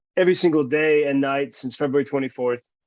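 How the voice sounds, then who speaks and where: A fairly high-pitched man with an American accent and fairly even intonation. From United States. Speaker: journalist, interviewer. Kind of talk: interview. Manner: halting, many fillers.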